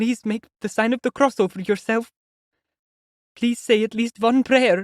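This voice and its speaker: A man puts on a character voice with an extremely high pitch, shaky and timid in tone. His intonation is monotone and flat, at a moderate pace. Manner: trembling, timid.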